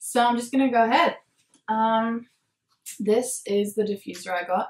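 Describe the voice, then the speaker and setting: The woman's voice is fairly high-pitched and somewhat breathy. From Norway. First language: Norwegian. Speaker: essential oils vlogger. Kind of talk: product demo. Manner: casual with many fillers.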